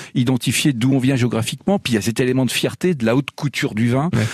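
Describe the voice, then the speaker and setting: The man talks quite quickly at a medium pitch, the sound dry and close with no echo. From France, born in Lyon, lives in Dijon. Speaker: magazine publisher. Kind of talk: casual chat. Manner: halting, many repetitions.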